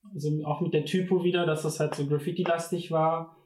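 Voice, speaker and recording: Somewhat breathy, the voice moves at a fairly quick pace with a monotone, flat intonation. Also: man. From Ruhr area, Bochum. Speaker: design student. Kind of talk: casual chat.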